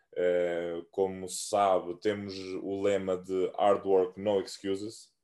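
A man talks in a dark, mellow tone over a quiet background. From Cape Verde, Santiago island. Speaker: American football player. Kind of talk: casual interview. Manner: halting.

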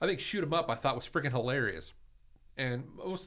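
Ordinary pitch variation runs through an ordinary speaking voice. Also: man. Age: 40s. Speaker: podcast host. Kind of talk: casual chat.

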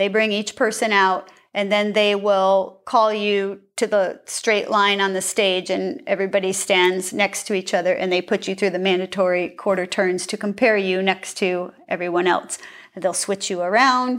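A woman with a normal speaking voice talks at a moderate pace and medium pitch, with fairly even intonation and hardly any pauses. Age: 50s. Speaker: bodybuilding competitor. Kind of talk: interview.

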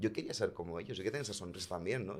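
A man talks in a plain, everyday voice, fairly low in pitch, with ordinary pitch variation. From Segovia, Spain. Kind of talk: casual chat.

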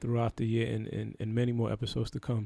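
In a New York accent, a man talks at a very fast pace with a medium-pitched voice, the sound dry and close with no echo. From Brooklyn, New York (Haitian family). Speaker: podcast host. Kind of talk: casual chat. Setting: studio.

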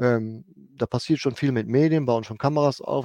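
Here a man talks at a moderate pace in a dark, mellow tone with fairly even intonation. The sound is dry and close with no echo, very clean, and the background silent. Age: 50s. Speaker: head groundskeeper. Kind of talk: interview. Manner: halting.

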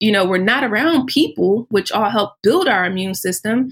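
Using a normal speaking voice, a woman talks at a fairly quick pace with lively intonation and medium pitch. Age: 30s. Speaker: plant-based weight loss coach. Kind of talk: casual chat.

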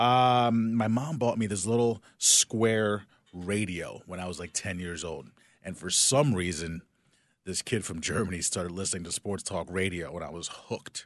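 A man with an American accent and a plain, everyday voice, fairly low in pitch, at a moderate pace with ordinary pitch variation, against a quiet background. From South Jersey, near Philadelphia. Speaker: TV sports anchor. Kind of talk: casual interview.

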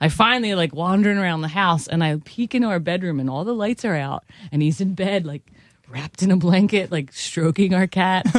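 A woman with a Philadelphia accent talks at a fairly quick pace and a medium pitch. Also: ordinary pitch variation. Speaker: musician. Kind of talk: casual chat.

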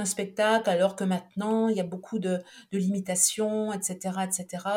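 Somewhat breathy woman's voice, medium in pitch, with monotone, flat intonation. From France, Saint-Étienne. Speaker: Egyptologist and author. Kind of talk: interview. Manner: hesitant, many fillers.

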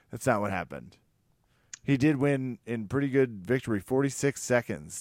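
A man's animated voice at medium pitch and moderate pace, dry and close with no echo, in a very clean recording with a silent background. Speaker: podcast host. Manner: joking, animated.

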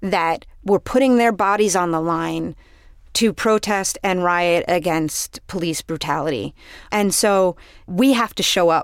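In an ordinary speaking voice, a woman with an American accent talks at a fairly slow pace. Her fairly low pitch shows ordinary variation, and the recording is very clean with a silent background. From New York City. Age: 30s. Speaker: public defender and former DA candidate. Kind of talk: interview.

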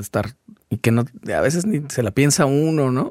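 The speaker has a normal speaking voice and a moderate pace. The recording is very clean with a silent background and a dry, close sound with no echo. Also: man. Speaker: podcast host. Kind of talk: casual interview chat.

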